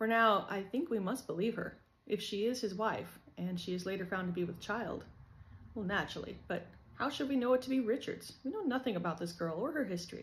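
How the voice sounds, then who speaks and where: Somewhat breathy, this voice carries an American accent and lively intonation. It moves at a fairly quick pace. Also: woman, medium pitch for a woman. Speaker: author reading own novel. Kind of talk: reading aloud.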